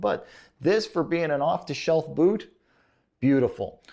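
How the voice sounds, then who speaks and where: This voice carries an American accent and an animated tone. Its pitch swings very widely. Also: man, quiet background. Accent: Chicago accent, sometimes thicker. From Chicago, US Midwest. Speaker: boot reviewer. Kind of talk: product review. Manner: casual, animated.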